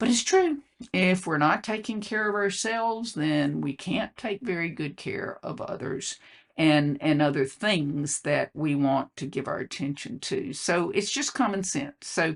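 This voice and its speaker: A woman speaks fairly slowly in a Southern US accent, her fairly low voice swinging very widely in pitch. The background is quiet. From US South. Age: 70s. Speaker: health coach and legal consultant. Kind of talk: casual vlog monologue. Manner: halting, with many fillers.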